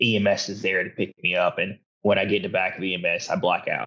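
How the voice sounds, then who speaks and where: This man has a Southern US accent. He talks at a fairly quick pace. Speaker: hunter and motivational speaker. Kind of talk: casual chat.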